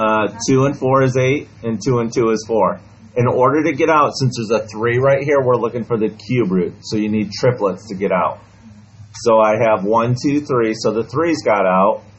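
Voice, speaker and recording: With a plain, everyday voice, a man speaks at a moderate pace and medium pitch with ordinary pitch variation. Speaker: math teacher. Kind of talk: classroom lesson. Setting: classroom with students.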